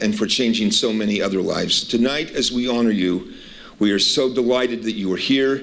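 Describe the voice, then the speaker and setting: This man has an ordinary speaking voice, pitched in the medium range, delivered at a moderate pace with ordinary pitch variation. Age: 60s. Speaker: university administrator. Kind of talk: welcome speech.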